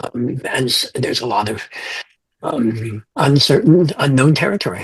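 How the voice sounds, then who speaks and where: Somewhat breathy male voice with lively intonation. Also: medium pitch for a man, moderate pace. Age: 70s. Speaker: fantasy author. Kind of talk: interview. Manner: halting.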